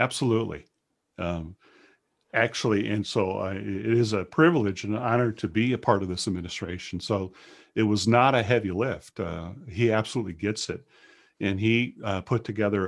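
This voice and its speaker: In front of a quiet background, a man with an American accent has an unremarkable speaking voice, fairly low in pitch, with ordinary pitch variation and a moderate pace. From Wisconsin, US Midwest. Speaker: state agency director. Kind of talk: interview.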